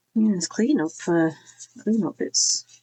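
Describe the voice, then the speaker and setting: This woman speaks with a Yorkshire accent. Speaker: crafting YouTuber. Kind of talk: casual craft tutorial chat. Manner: chatty, rambling with many fillers.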